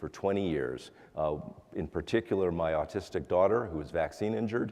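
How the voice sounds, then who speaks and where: A man speaks at a fairly low pitch. His intonation is lively. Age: 60s. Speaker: congressional candidate. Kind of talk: debate closing statement. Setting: auditorium with audience. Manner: halting.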